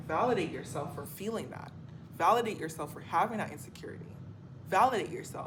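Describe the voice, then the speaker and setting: A woman's fairly low, somewhat breathy voice at a very fast pace, with big swings in loudness and audible room echo. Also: lively intonation. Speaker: spiritual coach and vlogger. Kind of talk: motivational monologue vlog.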